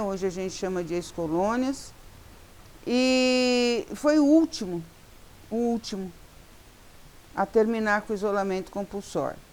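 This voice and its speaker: With lively intonation, a woman speaks at a medium pitch and a fairly slow pace. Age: 60s. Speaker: social worker and educator. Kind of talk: talk to law students.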